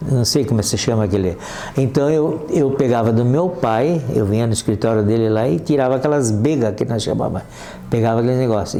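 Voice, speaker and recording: There is audible room echo and noticeable background noise. Through it, a man talks at a moderate pace with ordinary pitch variation. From Brazil, Santa Catarina (Corupá). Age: 80s+. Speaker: local elder, retired accountant. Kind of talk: oral history interview. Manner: halting, many restarts.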